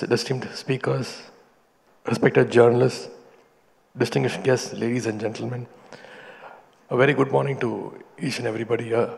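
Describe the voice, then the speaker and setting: Putting on a character voice, a man sounds hoarse at a medium pitch, talking at a fairly quick pace with fairly even intonation. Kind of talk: formal speech.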